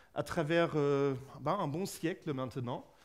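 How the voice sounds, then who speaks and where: Audible room echo hangs around this man's voice. He speaks at a very slow pace. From Germany. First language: German (speaking French). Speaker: physicist, researcher and lecturer. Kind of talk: public lecture. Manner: halting, many fillers.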